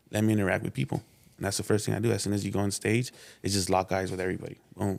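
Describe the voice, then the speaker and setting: A man at a very fast pace, fairly low in pitch, with vocal fry and fairly even intonation. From South Central Los Angeles. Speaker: local rapper. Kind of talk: casual interview chat. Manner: quiet, reserved.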